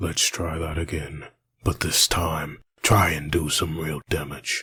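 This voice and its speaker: At a fairly slow pace, the speaker puts on a character voice. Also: man, very deep, low pitch for a man. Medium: fan dub. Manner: grim, terse.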